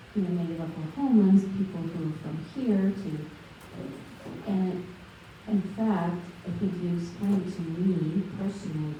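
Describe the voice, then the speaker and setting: A woman's fairly low voice at a fairly slow pace, with ordinary pitch variation, audible room echo and noticeable background noise. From Russia. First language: Russian. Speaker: audience member. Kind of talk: audience comment in Q&A.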